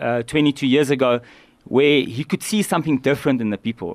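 A normal speaking voice, a man's at medium pitch with ordinary pitch variation, over a quiet background. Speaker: addiction recovery charity worker. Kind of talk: radio interview. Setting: radio studio.

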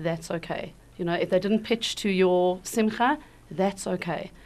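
The intonation holds fairly even. It is an unremarkable speaking voice. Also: woman. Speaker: therapist for kids and teens. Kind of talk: radio interview, casual chat. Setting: radio studio.

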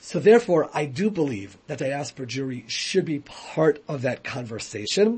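Speaking with an American accent at a moderate pace, a man sounds somewhat breathy and uses lively intonation. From United States. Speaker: rabbi and former politician. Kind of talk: radio interview. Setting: radio studio.

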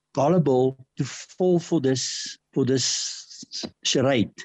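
A man with a South African accent, a dark, mellow tone, ordinary pitch variation and very even loudness, in a dry, close sound with no echo. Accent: Afrikaans-accented English. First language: Afrikaans. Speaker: retired police detective and author. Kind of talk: interview. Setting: pre-recorded interview.

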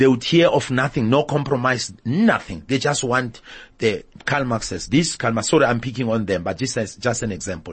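Speaking at a moderate pace, a man with a medium pitch uses lively intonation and sounds somewhat breathy. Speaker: policy researcher. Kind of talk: interview.

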